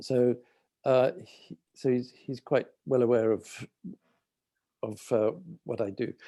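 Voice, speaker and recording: Speaking very slowly with long, frequent pauses, a man with a London accent has a dark, mellow tone. His medium pitch stays fairly even, and the sound is dry and close with no echo. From London, England. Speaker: architect, community project manager. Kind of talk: presentation on video call. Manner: hesitant, many fillers.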